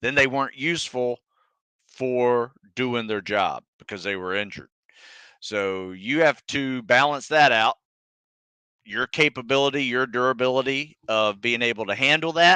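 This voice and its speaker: A man with an American accent speaks at a medium pitch and a moderate pace, in a bright, sharp tone with ordinary pitch variation. He takes long, frequent pauses, and the sound is dry and close with no echo against a quiet background. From US South (North Florida / southern Georgia). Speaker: fitness coach, former Navy SEAL. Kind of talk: live Q&A stream. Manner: casual, conversational.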